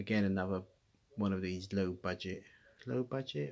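The speaker is a man. His voice has a fairly low pitch. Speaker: vlogger. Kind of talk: casual vlog chat. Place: home room. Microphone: phone near.

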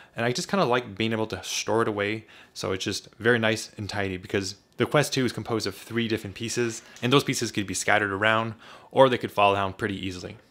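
Speaking at a very fast pace, a man keeps his intonation fairly even. His pitch is fairly low. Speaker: tech reviewer. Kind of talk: product review talk. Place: home room. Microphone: studio mic.

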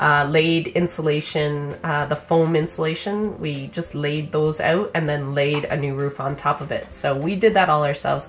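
There is light background noise as a woman speaks in a very deep, low pitch. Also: fairly even intonation, moderate pace. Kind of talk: casual vlog chat. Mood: thoughtful, explanatory. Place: office. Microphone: camera far.

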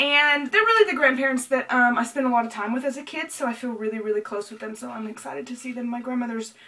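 A woman with an American accent speaks at a fairly quick pace, her voice fairly high with ordinary pitch variation. Noticeable background noise runs beneath her. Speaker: vlogger. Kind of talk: casual chat. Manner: fast.

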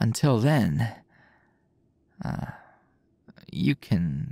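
The voice is soft-spoken with a playful tone. The sound is dry with no echo, and the background is quiet. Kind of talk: intimate roleplay audio drama. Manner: drowsy, playful low murmur.

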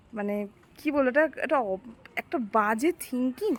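A woman speaks in a high pitch. Her voice is soft-spoken. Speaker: vlogger. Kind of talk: casual vlog talk to camera. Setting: outdoors.

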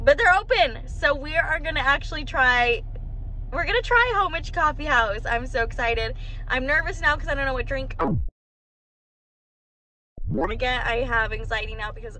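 Over light background noise, a woman speaks at a fairly quick pace in a raised, projected voice. Her pitch swings very widely, her loudness shifts a lot, and the sound is dry with no echo. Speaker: vlogger. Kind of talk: casual vlog chat. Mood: disappointed, then excited. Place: car. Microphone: phone near.

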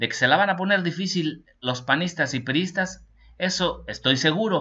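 Against a quiet background, a man speaks at a moderate pace in an animated tone that is bright and sharp. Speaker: political news commentator. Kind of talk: news reading with personal commentary. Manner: informal, animated.

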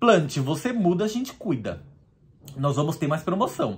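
A man with a Brazilian accent, a somewhat breathy voice, very wide pitch swings and a moderate pace. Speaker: business leader and product seller. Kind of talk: street seller pitch, product sales pitch. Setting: video blog. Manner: animated, upbeat. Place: home room. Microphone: phone near.

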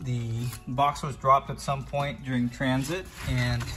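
Clear music plays in the background. Over it, a man speaks at a moderate pace with fairly even intonation. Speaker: vlogger. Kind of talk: casual vlog chat. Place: garage. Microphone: phone near.

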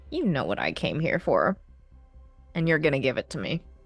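Over faint background music, a put-on character voice at a middle pitch moves at a fairly quick pace. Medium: actual play. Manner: cold, menacing.

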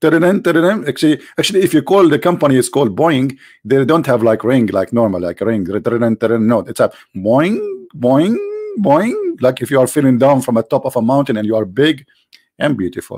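A man with an Arabic accent at medium pitch and a moderate pace, with very wide pitch swings. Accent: Arabic-accented non-native English. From Arabia. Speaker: religious debater, live stream host. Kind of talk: live stream commentary critiquing religion. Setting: live online broadcast. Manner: animated, sarcastic.

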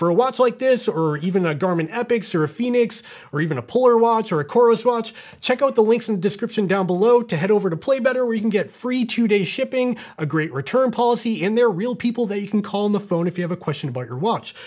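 Lively in intonation, a man speaks at a very fast pace. The background stays quiet. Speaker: tech reviewer. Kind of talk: product review talk. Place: studio.

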